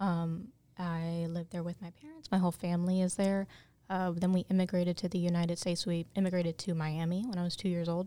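A woman with an American accent speaks very fast in a fairly low voice with a dark, mellow tone. Her intonation is monotone and flat, and the recording is very clean with a silent background. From North Carolina, from age seven. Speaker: HR employee engagement coordinator. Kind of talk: panel discussion.

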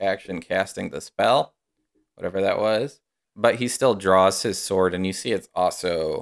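The delivery is a natural reading voice with ordinary pitch variation. The background is quiet.

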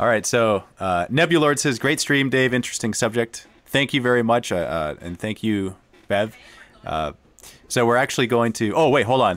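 A man with a medium pitch speaks at a moderate pace with lively intonation. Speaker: gaming channel host. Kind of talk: casual livestream interview. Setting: home living room, video call. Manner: animated, excitable.

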